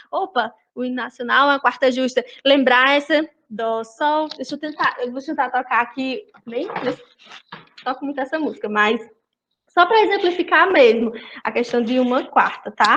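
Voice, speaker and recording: A woman's high-pitched voice with a bright, sharp tone, ordinary pitch variation, a moderate pace, and long, frequent pauses. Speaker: music study group leader. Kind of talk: online group lesson.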